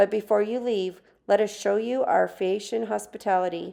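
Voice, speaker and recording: A woman speaks in a raspy, put-on character voice at medium pitch and a moderate pace. Her intonation stays monotone and flat. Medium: read story. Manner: gracious, courtly.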